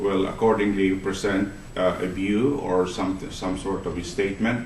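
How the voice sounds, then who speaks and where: Amid noticeable background noise and audible room echo, a man talks at a fairly slow pace and a fairly low pitch with ordinary pitch variation. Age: 70s. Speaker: meeting moderator and teacher. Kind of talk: formal meeting chairing. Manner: halting.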